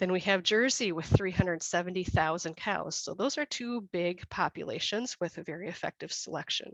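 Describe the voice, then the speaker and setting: Recorded dry and close with no echo, a woman with an American accent talks in a normal speaking voice with ordinary pitch variation and hardly any pauses. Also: medium pitch for a woman, fairly quick pace. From USA. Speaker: dairy breeding consultant. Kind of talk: webinar presentation. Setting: online webinar.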